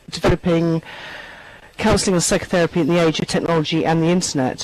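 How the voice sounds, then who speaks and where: A woman with a fairly low pitch speaks in fairly even intonation against noticeable background noise. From London. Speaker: online therapy trainer. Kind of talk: panel introduction in online town hall. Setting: virtual meeting.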